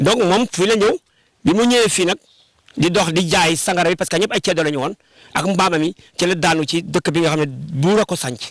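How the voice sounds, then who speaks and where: A high-pitched man at a moderate pace, with ordinary pitch variation, long and frequent pauses, and a dry, close sound with no echo. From Senegal, Sine region (Djilor). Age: 60s. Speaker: heritage site guide. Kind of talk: guided tour explanation.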